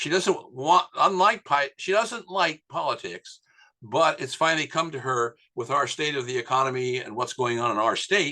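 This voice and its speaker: Bright and sharp in tone, a man speaks at a fairly high pitch with lively intonation. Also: quiet background. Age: 80s+. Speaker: networking coach. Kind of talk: interview.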